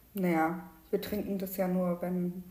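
A woman speaks at a medium pitch with monotone, flat intonation. Audible room echo and noticeable background noise surround her voice. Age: 20s. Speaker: podcast co-host, lab chemist. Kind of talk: casual chat. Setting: at home at the dining table.

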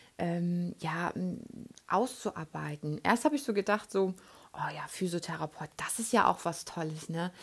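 Recorded very cleanly against a silent background, a woman speaks in a somewhat breathy, fairly low voice with ordinary pitch variation. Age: 30s. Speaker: podcast host and relaxation trainer. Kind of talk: casual monologue. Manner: hesitant, many fillers.

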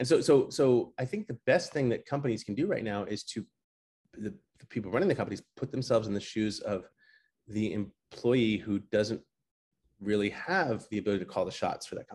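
Speaking in a normal speaking voice with an American accent, this voice moves at a fairly quick pace, with lively intonation and big swings in loudness. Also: man, medium pitch for a man. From New York City. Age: 40s. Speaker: entrepreneur and PR/media expert. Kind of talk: casual interview. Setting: remote call from his apartment.

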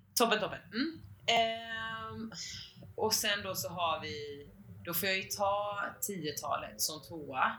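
A woman's medium-pitched voice at a very slow pace, with very wide pitch swings, noticeable background noise and audible room echo. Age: 20s. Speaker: podcast co-host. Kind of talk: casual chat.

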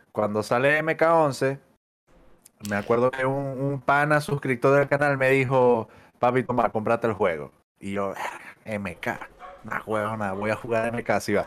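At a fairly slow pace with long, frequent pauses, a man talks at a medium pitch with ordinary pitch variation. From Venezuela, Maracaibo. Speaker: fighting game caster and player. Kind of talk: casual chat.

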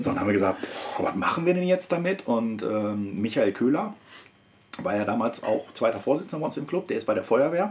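This man's voice sits at a medium pitch and moves through very wide pitch swings. He talks at a fairly quick pace. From Ruhr area, Germany (Wanne-Eickel). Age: 30s. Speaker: car enthusiast. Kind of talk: casual chat.

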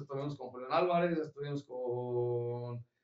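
At a fairly slow pace, a man speaks in a plain, everyday voice. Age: 30s. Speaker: brass band leader and musician. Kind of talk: casual chat.

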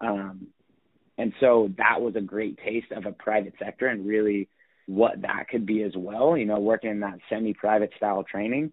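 Using a plain, everyday voice, a man speaks at a moderate pace with fairly even intonation and a fairly low pitch. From Northern California, US (Sacramento). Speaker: strength and conditioning coach. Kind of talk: interview.

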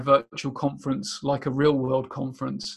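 A man with a southern English accent speaks at a fairly high pitch and a moderate pace. The recording is very clean, with a silent background. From southern England, near Portsmouth. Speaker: business analysis consultant. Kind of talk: interview. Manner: halting, many repetitions.

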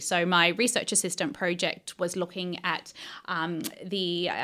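The recording is very clean, with a silent background. A woman with an Australian accent has a medium pitch and a bright, sharp tone. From Australia, Victoria. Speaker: cancer researcher. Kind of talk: interview.

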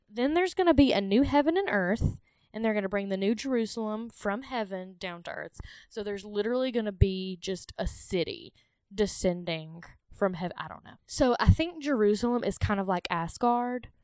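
Speaking in a strong Southern US accent, a woman uses a fairly high voice and lively intonation at a moderate pace. Her loudness swings widely. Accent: thick Southern US. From US South. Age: 30s. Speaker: podcast host. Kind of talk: casual chat.

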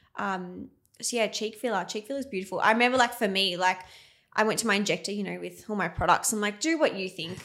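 A woman with an Australian accent speaks very fast in a bright, sharp tone. Her pitch variation is ordinary. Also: medium pitch for a woman, very clean recording, silent background. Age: 20s. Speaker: nurse and cosmetic injector, clinic owner. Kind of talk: casual interview chat.

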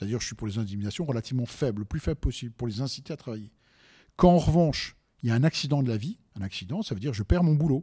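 Racing along at a very fast pace, a man speaks at a medium pitch in a dark, mellow, somewhat breathy voice with lively intonation, recorded very cleanly against a silent background. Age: 60s. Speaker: business owner, restaurant entrepreneur. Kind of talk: debate.

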